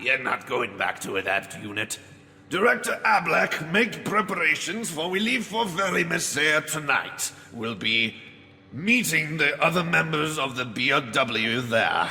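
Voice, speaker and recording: Over light background noise, a man puts on a character voice with a fairly high pitch and very wide pitch swings, speaking at a moderate pace. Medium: audio drama. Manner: mocking, laughing.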